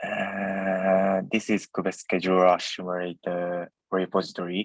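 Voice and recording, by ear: In a dry, close sound with no echo, a man talks slowly in a low pitch with monotone, flat intonation.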